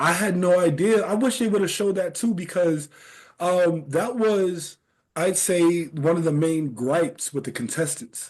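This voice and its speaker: At a fairly slow pace, a man with a high voice speaks loudly. The background is quiet. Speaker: podcast host and game show contestant. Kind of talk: casual interview chat.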